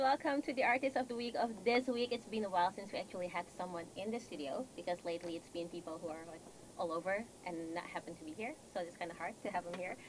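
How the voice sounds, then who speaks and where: Upbeat and lively in intonation, a woman with a medium-pitched voice speaks at a very fast pace over noticeable background noise. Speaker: radio host. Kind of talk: radio interview hosting.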